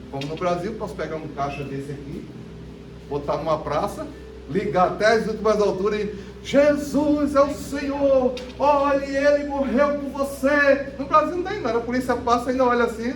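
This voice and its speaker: With music in the background and audible room echo, an animated voice in a northeastern Brazilian accent speaks at a moderate pace with very wide pitch swings. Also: man. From Brazil, Northeast (interior of Pernambuco). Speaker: preacher. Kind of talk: sermon.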